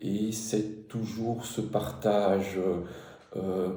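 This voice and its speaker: There is audible room echo and noticeable background noise behind a man's voice. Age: 60s. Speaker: truck driver turned digital marketer. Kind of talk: personal testimony. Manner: halting, many hesitations and repetitions; spontaneous.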